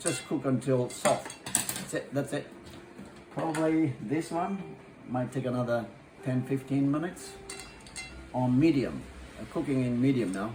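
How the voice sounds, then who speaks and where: Spoken at a fairly slow pace with a Japanese accent, the voice shows ordinary pitch variation and long, frequent pauses over noticeable background noise. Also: man, medium pitch for a man. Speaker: chef and restaurant owner. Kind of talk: cooking tutorial. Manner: halting.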